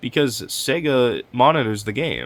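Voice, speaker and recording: A man's voice with vocal fry. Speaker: gaming commentary youtuber. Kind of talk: reaction commentary. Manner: casual.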